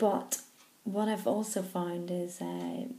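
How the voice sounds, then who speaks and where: With a Northern Irish accent, a woman speaks very slowly in a medium-pitched, dark, mellow, somewhat breathy voice. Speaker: stammering charity trustee. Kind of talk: personal video message. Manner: slow, controlled; stammer.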